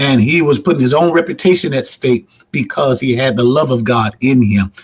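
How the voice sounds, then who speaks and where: A man with an animated tone speaks at a fairly quick pace in a somewhat breathy, medium-pitched voice, his loudness very even and his pitch varying in an ordinary way. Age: 60s. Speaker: pastor. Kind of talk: panel discussion. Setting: virtual convention panel.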